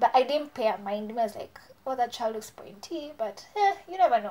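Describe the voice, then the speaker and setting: At a moderate pace, a woman talks with a high pitch and very wide pitch swings. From Kenya, Nairobi. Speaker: beauty vlogger. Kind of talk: storytime vlog. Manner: casual, animated.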